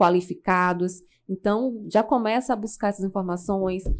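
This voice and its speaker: Captured on a very clean recording with a silent background, a woman with an ordinary speaking voice talks at a moderate pace and medium pitch. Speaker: public speaking coach. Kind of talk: podcast interview.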